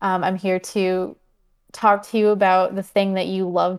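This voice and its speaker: Against a silent background in a very clean recording, a woman speaks with an American accent at a medium pitch, her intonation monotone and flat. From US Midwest (Michigan). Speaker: motorsport journalist. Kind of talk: casual interview.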